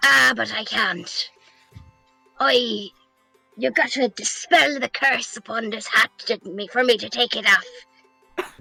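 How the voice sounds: In a put-on character voice, a female-sounding speaker talks at a fairly slow pace with fairly high pitch, faint music playing in the background.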